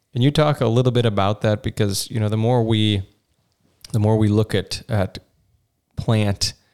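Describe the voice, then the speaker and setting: A plain, everyday voice at a moderate pace, with fairly even intonation and a dry, close sound with no echo. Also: man. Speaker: podcast host. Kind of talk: casual interview.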